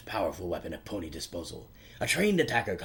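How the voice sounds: The clip features a natural reading voice.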